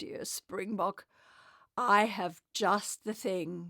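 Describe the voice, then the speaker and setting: Very slow, raspy delivery in a put-on character voice. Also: woman, medium pitch for a woman. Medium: read story. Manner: warm, gentle.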